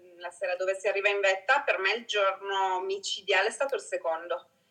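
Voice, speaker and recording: A woman's normal speaking voice, medium in pitch, fairly quick, with fairly even intonation. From Italy. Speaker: travel photographer. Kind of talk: casual interview chat.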